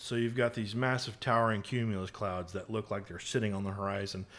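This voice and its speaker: The voice has an American accent and a fairly quick pace with monotone, flat intonation. The recording is very clean, with a silent background. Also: man. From North Texas, McKinney. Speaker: photographer. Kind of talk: casual interview.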